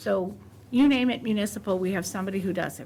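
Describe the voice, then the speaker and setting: A woman talking at a very fast pace with vocal fry. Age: 60s. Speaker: municipal consultant chairing committee. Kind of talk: committee meeting introduction. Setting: public committee meeting.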